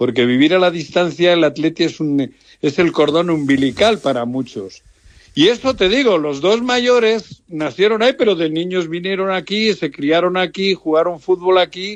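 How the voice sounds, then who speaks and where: A man talks at a high pitch, his intonation lively. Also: moderate pace. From Basque Country, Lemoa (Biscay). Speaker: radio station owner, football club owner. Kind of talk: phone interview.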